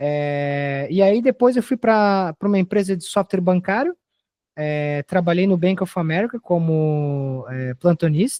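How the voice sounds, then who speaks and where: A man speaks in a high pitch, his intonation lively. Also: fairly slow pace. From Brazil. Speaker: software developer. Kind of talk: casual interview chat.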